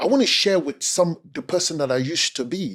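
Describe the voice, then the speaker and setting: In a very clean recording with a silent background, a man with a Cameroonian accent speaks fairly quickly and with lively intonation. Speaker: speaker and communication coach. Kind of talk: interview conversation. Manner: energetic.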